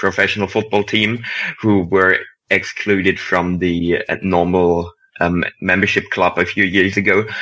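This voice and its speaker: A man talks at a moderate pace with a very deep, low pitch. His intonation is monotone and flat. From Germany. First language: German. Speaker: football writer. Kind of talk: casual chat.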